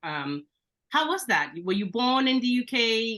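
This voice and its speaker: With a bright, sharp tone and lively intonation, a woman talks over a quiet background. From Belgium. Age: 30s. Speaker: business coach, podcast host. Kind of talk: interview.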